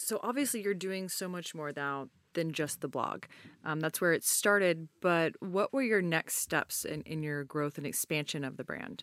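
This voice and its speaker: With a plain, everyday voice, a woman speaks at a moderate pace and fairly low pitch, with ordinary pitch variation and a dry, close sound with no echo. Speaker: podcast host and company co-founder. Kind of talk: interview with ad read.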